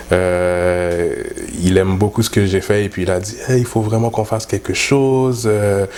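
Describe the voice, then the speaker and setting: This man has a fairly low pitch and fairly even intonation. His pace is fairly slow. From Montreal North, Quebec. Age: young. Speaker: dancehall artist. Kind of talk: interview. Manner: halting, many fillers.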